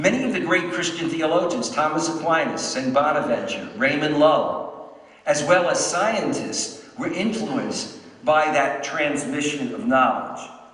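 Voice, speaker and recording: Amid noticeable background noise and audible room echo, a man with an American accent speaks at a fairly slow pace with lively intonation. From New York, Brooklyn. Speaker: professor. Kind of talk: lecture.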